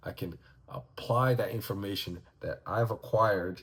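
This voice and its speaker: A man talks with lively intonation in a somewhat breathy voice. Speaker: vlogger and aspiring life coach. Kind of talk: casual vlog monologue. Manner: mumbling.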